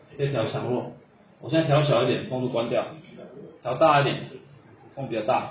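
A man with a Taiwanese accent talks at a fairly quick pace with fairly even intonation, yet leaves long, frequent pauses. Noticeable background noise and audible room echo fill the recording. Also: medium pitch for a man. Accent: Taiwanese Mandarin. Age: 40s. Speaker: coffee roasting instructor. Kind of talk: lecture. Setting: classroom with audience.

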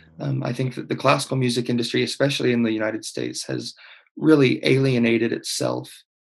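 A man talks with an Oklahoma accent. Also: quiet background. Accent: Oklahoma American English. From Oklahoma, US. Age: 20s. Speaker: conductor and pianist. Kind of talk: casual interview. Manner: hesitant, many fillers.

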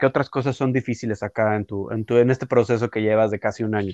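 A man with an unremarkable speaking voice talks at a moderate pace with fairly even intonation, in a dry, close sound with no echo and a quiet background. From Mexico City. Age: 30s. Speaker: podcast host. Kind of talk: interview conversation.

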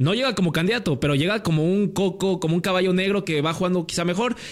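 He is a man. He speaks with a Mexican accent. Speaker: podcast host. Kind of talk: casual chat.

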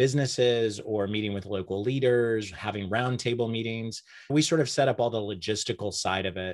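A man with a fairly low pitch speaks at a moderate pace in an unremarkable speaking voice, his intonation fairly even against a quiet background. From Oklahoma, Enid. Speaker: communications consultant. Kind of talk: interview.

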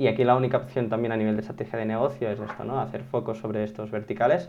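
A man speaks in a normal speaking voice at a medium pitch. His pace is fairly quick and his intonation fairly even. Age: 20s. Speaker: SEO consultant. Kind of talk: interview.

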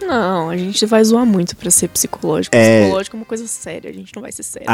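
Over music in the background, a woman talks at a very fast pace and medium pitch, with very wide pitch swings and big swings in loudness. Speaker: podcast co-host; psychology student.

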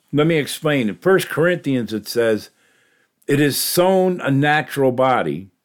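A man with an American accent and a plain, everyday voice, fairly high in pitch and lively in intonation, at a fairly slow pace in a very clean recording with a silent background. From New York. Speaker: podcast host and lay preacher. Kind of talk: casual religious monologue. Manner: conversational with frequent fillers and laughs.

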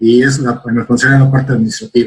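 A somewhat breathy man speaks at a medium pitch and a moderate pace. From Mexico City. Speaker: sales and brand manager. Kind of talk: interview. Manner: halting, repeats words.

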